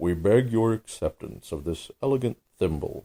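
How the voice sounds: A natural reading voice has lively intonation. The background is quiet.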